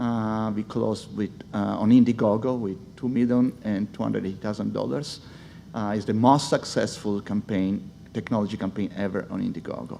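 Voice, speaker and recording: Speaking with an Italian accent, a man uses a fairly low voice with a dark, mellow tone, a moderate pace and ordinary pitch variation. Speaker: speech technology executive. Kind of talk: conference panel talk. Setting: stage with audience.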